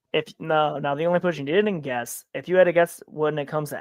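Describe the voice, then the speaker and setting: A woman speaks with an American accent at a fairly quick pace. Her pitch is very deep and low, with ordinary variation. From upstate New York. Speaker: podcast co-host. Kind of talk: casual chat.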